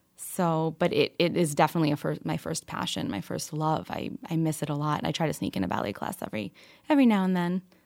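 A woman's normal speaking voice with an American accent, fairly low in pitch and fairly quick in pace, on a very clean recording with a silent background. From New York and Kentucky. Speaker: financial advisor and founder. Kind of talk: interview.

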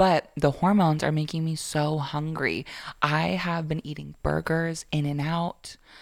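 A woman with an American accent speaks at a fairly slow pace in an animated tone, her pitch very deep and low. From Florida. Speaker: podcast guest. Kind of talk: casual chat.

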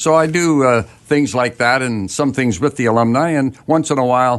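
A man with a Canadian accent speaks at a moderate pace at medium pitch, in a plain, everyday voice. The background is quiet. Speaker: retired hockey broadcaster. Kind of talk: radio interview. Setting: studio.

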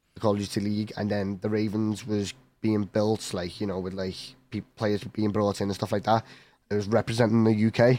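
In a Liverpool accent, a man speaks at a moderate pace in a fairly low pitch, with a dark, mellow tone and monotone, flat intonation. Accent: Scouse. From Liverpool, England. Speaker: esports professional gamer. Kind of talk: casual interview.

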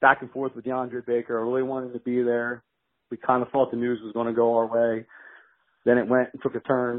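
A man's monotone, flat delivery at medium pitch and a fairly quick pace, with big swings in loudness. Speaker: caller. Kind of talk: voicemail question. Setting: phone voicemail. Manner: frustrated.

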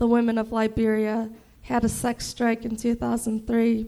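A woman with an American accent, fairly high pitch, a dark, mellow tone and monotone, flat intonation. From Chicago. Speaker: comedian. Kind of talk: stand-up. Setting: stage with audience.

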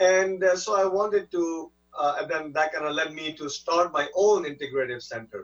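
Over music in the background, a man with a high pitch speaks at a moderate pace with ordinary pitch variation. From India, raised in California. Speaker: neurologist. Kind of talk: interview. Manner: halting, many fillers.

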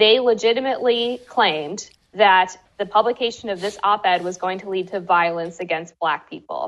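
A woman's unremarkable speaking voice at a medium pitch, moderate pace, and ordinary pitch variation. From US. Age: 20s. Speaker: journalist and author. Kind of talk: interview.

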